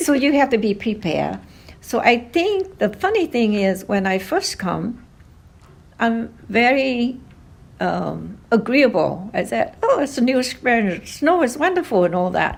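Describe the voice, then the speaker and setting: A woman with a slight Vietnamese accent speaks at a fairly slow pace with vocal fry. Her pitch is fairly high and makes very wide swings. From Vietnam, Hanoi. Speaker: oral history interviewee, grandmother. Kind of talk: interview. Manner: hesitant, many fillers.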